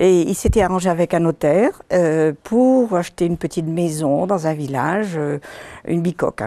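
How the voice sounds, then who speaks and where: A woman's fairly low, dark and mellow voice in a Breton accent, with ordinary pitch variation at a moderate pace. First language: Breton (speaking French). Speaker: author. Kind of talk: interview.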